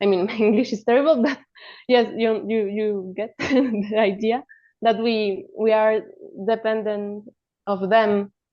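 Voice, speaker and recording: The speaker has a Spanish accent. The pace is fairly slow and the intonation fairly even. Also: woman, fairly high pitch for a woman. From Colombia. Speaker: animation film director. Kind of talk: roundtable discussion.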